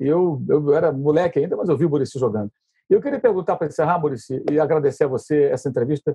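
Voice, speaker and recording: A man talks at a very fast pace in a fairly high voice. His delivery is somewhat breathy, with ordinary pitch variation. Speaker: sports journalist, interviewer. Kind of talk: interview.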